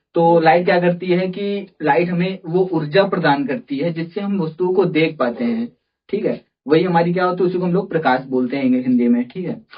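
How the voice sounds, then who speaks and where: Moving at a moderate speed, the man's high voice shows normal pitch variation. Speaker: teacher. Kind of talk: tutorial. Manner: halting; says 'theek hai' often.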